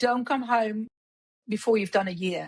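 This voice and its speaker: Somewhat breathy and fairly high in pitch, a woman speaks at a moderate pace with ordinary pitch variation. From Netherlands. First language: Dutch. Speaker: hairdresser and beauty industry executive. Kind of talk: podcast interview.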